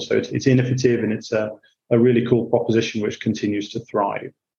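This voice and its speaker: A man with a medium pitch speaks in a dark, mellow tone with monotone, flat intonation. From Yorkshire, northern England (Hull). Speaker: banking executive. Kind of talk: interview.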